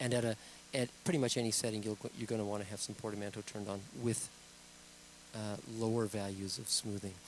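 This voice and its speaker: A man's fairly low voice at a very fast pace, fairly even in intonation, broken by long, frequent pauses. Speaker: product demonstrator. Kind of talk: tutorial.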